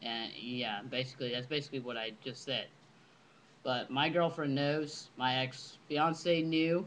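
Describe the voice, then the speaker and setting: In a plain, everyday voice, a man talks at a medium pitch and a fairly slow pace, with fairly even intonation. The background is quiet. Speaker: vlogger. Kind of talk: casual webcam monologue. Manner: casual, filler-heavy.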